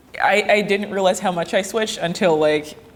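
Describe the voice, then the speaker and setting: A woman with a medium pitch and ordinary pitch variation talks at a moderate pace amid noticeable background noise. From small-town Canada, Jamaican parents. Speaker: actress. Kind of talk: interview.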